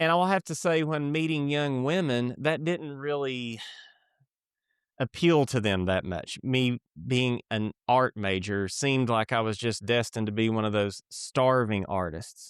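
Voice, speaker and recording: A man with an Appalachian accent, medium in pitch, fairly slow, with lively intonation, on a very clean recording with a silent background and a dry, close sound with no echo. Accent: Appalachian Kentucky. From Eastern Kentucky, Appalachia. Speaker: author and creative director. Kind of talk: podcast interview.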